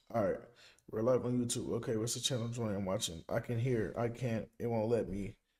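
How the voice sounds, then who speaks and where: Recorded very cleanly over a silent background, a man speaks at a medium pitch. His pace is fairly quick and his intonation fairly even. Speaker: sports podcast host. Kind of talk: casual chat. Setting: live stream. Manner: loud.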